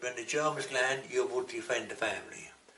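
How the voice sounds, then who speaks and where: The speaker has an English accent and a moderate pace. Noticeable background noise can be heard. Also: man. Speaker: war veteran. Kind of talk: interview answer.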